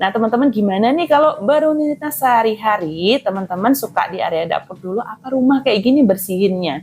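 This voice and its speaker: A woman speaks at a fairly quick pace and a fairly high pitch, with very wide pitch swings. Her voice is somewhat breathy. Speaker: housewife vlogger. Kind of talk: casual vlog chat while cleaning. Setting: at home. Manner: casual, chatty.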